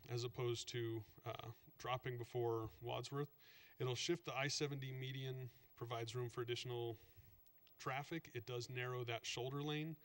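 Keeping a medium speed, a man talks with fairly level intonation. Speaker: state transportation planner; presenter. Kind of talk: slide presentation to council. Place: meeting room.

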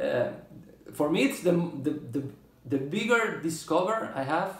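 A man with a Spanish accent speaks with lively intonation, and audible room echo surrounds his voice. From Spain. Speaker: drummer and video blogger; drummer reviewing drumsticks. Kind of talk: product review monologue. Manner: halting, many fillers. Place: home room. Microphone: phone near.

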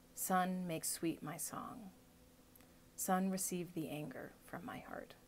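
Speaking at a very slow pace, a woman with a fairly low, somewhat breathy voice uses ordinary pitch variation against light background noise. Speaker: video blogger. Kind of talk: poet reading a poem aloud, unhurried and reflective, after casual chat. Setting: video blog, self-recorded. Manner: casual, conversational, halting with fillers. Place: home room. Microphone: phone near.

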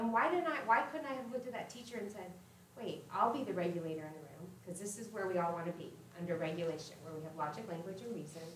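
A woman talks at a very fast pace with lively intonation. Audible room echo and light background noise surround her voice. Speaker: former teacher, trauma-informed care trainer. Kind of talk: workshop presentation. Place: hall.

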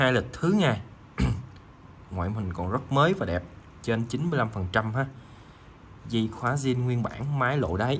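The voice is somewhat breathy, with lively intonation. It moves at a fairly slow pace, with long, frequent pauses. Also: man, medium pitch for a man. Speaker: watch seller. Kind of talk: sales pitch. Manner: informal, chatty.

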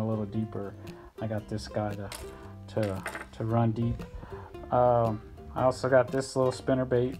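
Clear music plays in the background while the speech moves at a moderate pace. Long pauses come often. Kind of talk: casual vlog chat. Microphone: phone near.

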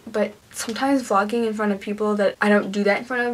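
Here a woman is speaking. Her intonation stays monotone and flat. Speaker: vlogger. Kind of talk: casual vlog chat. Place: home room. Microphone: phone near.

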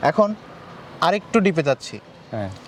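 Over noticeable background noise, a man's voice makes very wide pitch swings in a dry, close sound with no echo. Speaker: interview show host. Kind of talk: interview.

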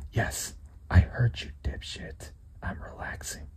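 Very slow whispering with noticeable noise behind it. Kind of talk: ASMR scary story narration, acted as a companion whispering to the listener. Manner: whispered, hushed.

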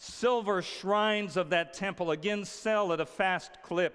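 Against a quiet background, a man speaks at a fairly slow pace. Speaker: preacher. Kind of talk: sermon. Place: stage.

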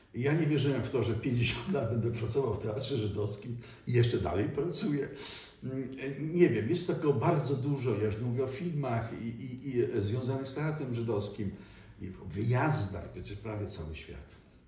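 A man at a moderate pace with lively intonation and audible room echo. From Poland, Silesia (Katowice). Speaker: stage actor. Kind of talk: interview. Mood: reflective, warm reminiscing. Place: home room.

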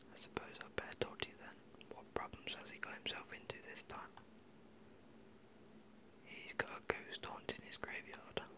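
Whispering at a moderate pace, the speaker leaves long, frequent pauses. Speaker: gaming ASMR creator. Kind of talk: gaming commentary. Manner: whispered.

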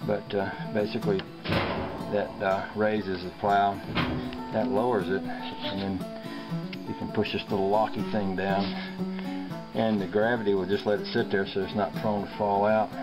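Clear music plays behind a man who speaks at a fairly slow pace with long, frequent pauses. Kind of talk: casual how-to demonstration. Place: car. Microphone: phone near.

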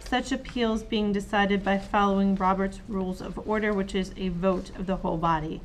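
A woman talks at a fairly quick pace with hardly any pauses. Her intonation is fairly even, with light background noise behind her. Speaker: city councilor. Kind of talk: council meeting discussion. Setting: council meeting room. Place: meeting room.

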